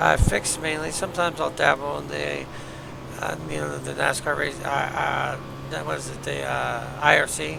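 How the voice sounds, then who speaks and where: A man mumbles at a moderate pace, with audible room echo and noticeable background noise. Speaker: sim racing streamer. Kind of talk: live gameplay commentary. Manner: mumbling; casual, hesitant.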